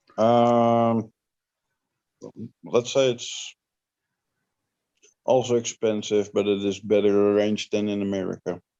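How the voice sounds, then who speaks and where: Speaking at a fairly slow pace with long, frequent pauses, a man uses a fairly low pitch in a monotone, flat intonation. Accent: Dutch. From Netherlands. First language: Dutch. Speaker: livestream guest. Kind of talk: casual chat.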